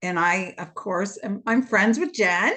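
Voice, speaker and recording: A woman speaks in a plain, everyday voice with a Canadian accent, at a moderate pace over a quiet background. Her intonation is lively. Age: 60s. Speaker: retired fitness instructor. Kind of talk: testimony.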